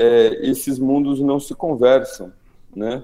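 In a Brazilian accent, a man talks at a very slow pace. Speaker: anthropologist and author. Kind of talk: interview. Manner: hesitant, many fillers.

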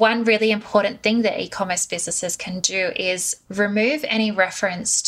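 In an Australian accent, a woman speaks at a moderate pace. Her pitch is medium and her intonation fairly even. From Australia, Sydney. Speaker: marketing consultant. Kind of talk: interview.

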